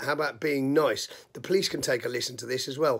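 A furious man with a British accent speaks at a fairly high pitch with fairly even intonation. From UK. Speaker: video blogger. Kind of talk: angry rant. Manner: furious, swearing-heavy, scolding. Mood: exasperated, angry at rioters. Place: home room. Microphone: phone near.

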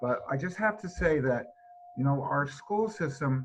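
With a New England accent, a man at a medium pitch talks at a moderate pace. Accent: New England American. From Connecticut. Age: 70s. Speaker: resident speaking at public hearing. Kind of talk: public comment. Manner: halting.

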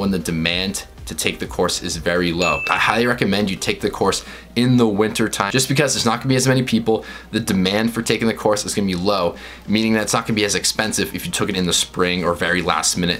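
Against faint background music, a man with a fairly low voice talks at a very fast pace with ordinary pitch variation. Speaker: vlogger. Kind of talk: casual vlog chat giving tips. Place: home room.

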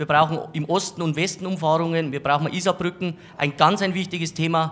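Holding a monotone, flat intonation, a man speaks at a moderate pace in a fairly high pitch. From Bavaria, Landshut. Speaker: local politician, mayoral candidate. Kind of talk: campaign statement. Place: studio. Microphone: handheld.

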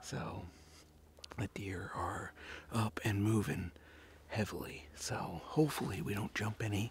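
Somewhat breathy and fairly low in pitch, a man speaks in a dry sound with no echo over light background noise. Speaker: hunter vlogger. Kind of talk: casual vlog chat. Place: forest. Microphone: phone near.

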